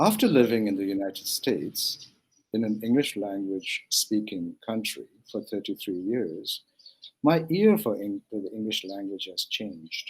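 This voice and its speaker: A man speaks in a Manipur accent. His pace is fairly slow. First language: Manipuri. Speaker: translator and film curator. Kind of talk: interview. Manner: halting, many fillers.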